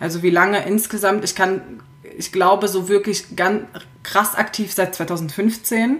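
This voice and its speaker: With fairly even intonation and a fairly slow pace, this is an unremarkable speaking voice. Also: woman, medium pitch for a woman. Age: 20s. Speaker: fashion and lifestyle blogger. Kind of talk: casual chat.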